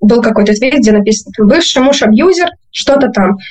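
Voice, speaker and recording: A woman with a plain, everyday voice at a moderate pace. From Podolsk, Moscow region. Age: 20s. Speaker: former school teacher, interviewee. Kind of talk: personal testimony.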